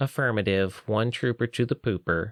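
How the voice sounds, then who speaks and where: This man puts on a drawling character voice at a medium pitch and moderate pace. The recording is very clean, with a silent background. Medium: read story.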